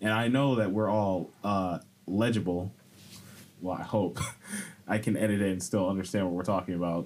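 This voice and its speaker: Noticeable background noise sits under a man's fairly low voice, which has ordinary pitch variation and long, frequent pauses. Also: moderate pace. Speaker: podcast host. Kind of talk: casual chat.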